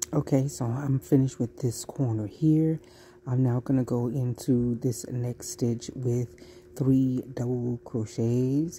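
The voice is dark and mellow, moving at a slow pace with fairly even intonation. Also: woman, extremely low pitch for a woman.

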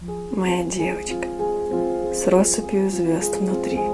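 Clear music can be heard behind the speaker. She is a woman. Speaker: poet reading her own poem. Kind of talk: poetry reading. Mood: tender, warm, intimate.

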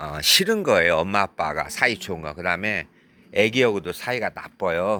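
A man's fairly low voice has a bright, sharp tone, ordinary pitch variation and big swings in loudness at a moderate pace. It is a very clean recording over a silent background. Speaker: vlogger and spiritual counselor. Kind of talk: vlog monologue. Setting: outdoors, at a sauna parking lot.

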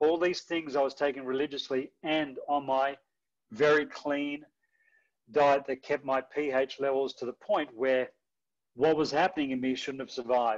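A man speaks with an Australian accent. His pitch is fairly high and his intonation fairly even. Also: moderate pace, quiet background. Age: 50s. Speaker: former athlete sharing testimony; presenter. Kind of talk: testimony. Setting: video call. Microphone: video call.

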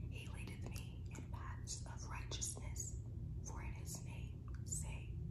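A woman whispers in a soothing tone at a very slow pace, her loudness very even. Noticeable background noise sits behind her. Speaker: ASMR creator. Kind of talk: scripture reading. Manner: slow, soothing.

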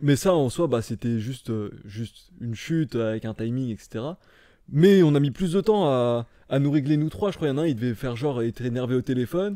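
The speaker is a man with a dark, mellow tone. His pitch sits in the medium range. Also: fairly quick pace, quiet background, dry sound with no echo. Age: 20s. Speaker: stuntman; podcast guest. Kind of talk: casual chat. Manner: deadpan. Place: home room. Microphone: studio mic.

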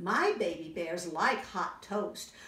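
A woman's put-on character voice at a medium pitch, warm and gentle in tone, with slight echo. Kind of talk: bedtime story. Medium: read story. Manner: warm, gentle. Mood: warm, comforting.

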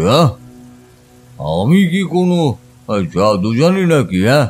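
Faint music plays in the background as a man speaks with very wide pitch swings. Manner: warm, reflective, storytelling.

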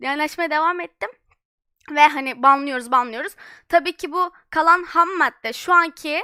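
In a very clean recording with a silent background and a dry, close sound with no echo, a woman projects a raised voice with a bright, sharp tone, high pitch, ordinary pitch variation and a moderate pace. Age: young. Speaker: streamer. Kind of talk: live stream chat.

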